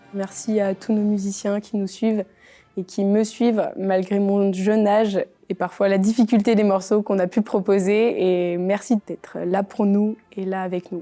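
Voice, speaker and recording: The delivery is fairly slow, with a dark, mellow tone. Intonation stays flat and monotone while loudness swings widely. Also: woman, medium pitch for a woman, very clean recording, silent background. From France, Bresse (Ain). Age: young. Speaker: flautist and band conductor. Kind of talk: interview.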